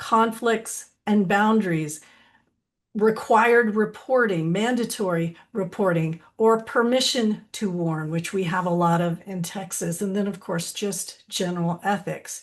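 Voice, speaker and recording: A woman with an unremarkable speaking voice talks at a fairly slow pace and medium pitch. Her pitch varies in an ordinary way, over a quiet background. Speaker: licensed counselor and supervisor trainer. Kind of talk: webinar presentation.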